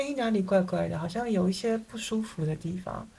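A somewhat breathy woman's voice at medium pitch, with lively intonation. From Taiwan. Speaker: psychotherapist. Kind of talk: interview.

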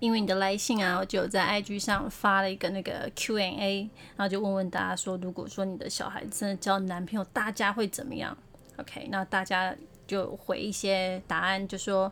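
A normal speaking voice from a woman, with fairly even intonation, medium pitch and a moderate pace. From Taiwan, Taipei (Beitou). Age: 40s. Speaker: podcast host, advice giver. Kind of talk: casual advice monologue.

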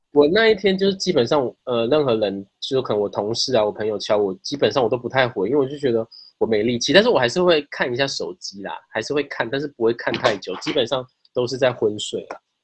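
A man talks at a very fast pace with lively intonation and a medium pitch. His voice is somewhat breathy. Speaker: podcast guest. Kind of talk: casual chat. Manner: halting, repeats words.

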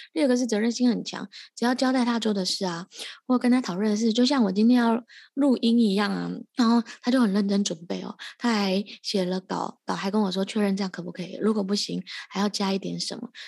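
A woman's fairly high voice, very fast and fairly even in intonation, over a quiet background. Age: 30s. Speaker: podcast host. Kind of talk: casual interview chat. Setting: postpartum care center, remote recording.

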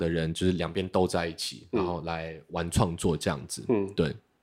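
On a very clean recording with a silent background, the talking proceeds at a fairly quick pace. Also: man. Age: 30s. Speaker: illustrator and beatmaker. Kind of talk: casual chat.

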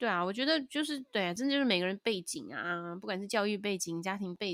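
This woman has a medium pitch and lively intonation, speaking at a fairly quick pace. The recording is very clean, with a silent background. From Taiwan. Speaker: jazz singer and podcast co-host. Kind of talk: casual chat. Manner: animated, mixes Mandarin and English.

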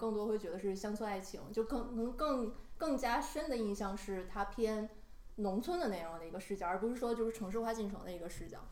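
At a fairly quick pace, a woman speaks in a fairly high pitch with ordinary pitch variation, with audible room echo and noticeable background noise in the recording. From Northeast China. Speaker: podcast co-host. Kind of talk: casual chat.

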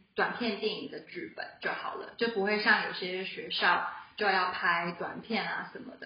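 At a fairly slow pace, a woman speaks at medium pitch with ordinary pitch variation, with audible room echo and noticeable background noise. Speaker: film production graduate. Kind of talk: casual chat. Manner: low energy. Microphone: too far from the mic.

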